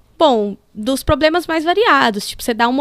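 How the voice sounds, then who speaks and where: Recorded with a dry, close sound with no echo, a woman speaks in a high pitch with very wide pitch swings. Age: 30s. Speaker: motorsport engineer. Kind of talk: casual interview.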